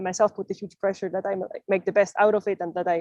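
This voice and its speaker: Talking at a very fast pace, a woman with a medium pitch and a non-native accent is heard in a dry, close sound with no echo. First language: not English. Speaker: youth climate negotiator. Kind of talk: panel discussion. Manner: halting, many fillers.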